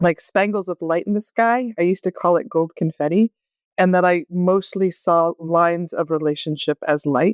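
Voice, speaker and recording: A woman with a normal speaking voice and a fairly low pitch talks at a moderate pace with ordinary pitch variation, in a dry, close sound with no echo. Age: 50s. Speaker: craniosacral therapist and writer. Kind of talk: podcast interview.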